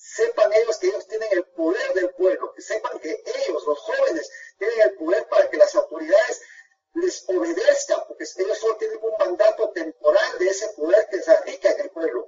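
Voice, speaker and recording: Loudness rises and falls in big swings as the speech goes at a moderate pace. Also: man. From Guatemala. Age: 50s. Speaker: lawyer. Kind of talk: radio interview.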